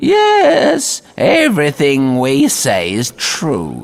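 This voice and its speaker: A man puts on a character voice. He delivers it at a very slow pace. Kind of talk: spooky storytelling. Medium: read story.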